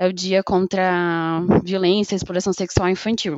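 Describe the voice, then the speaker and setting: Speaking at a fairly slow pace, a woman uses a fairly low pitch. Her delivery is monotone and flat. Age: 20s. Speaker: podcast co-host. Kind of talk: casual chat.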